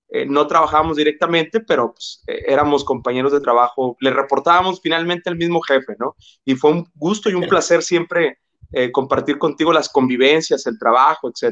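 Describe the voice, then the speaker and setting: Dry, close sound with no echo from a man at a moderate pace with ordinary pitch variation. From Mexico, Jalisco (Ciudad Guzmán), moved to Monterrey at 12. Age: 30s. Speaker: psychologist and labor relations specialist. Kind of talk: interview conversation.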